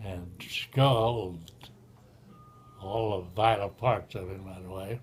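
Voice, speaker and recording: The voice is somewhat breathy. Its intonation stays fairly even. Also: man. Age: 80s+. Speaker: retired railroad engineer. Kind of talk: storytelling, casual conversation.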